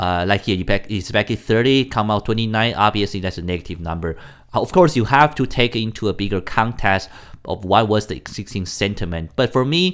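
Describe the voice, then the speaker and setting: A man's speech with ordinary pitch variation comes through on a very clean recording against a silent background. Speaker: forex trader, market commentator. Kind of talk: daily market commentary video. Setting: home recording late at night. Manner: halting, many self-corrections.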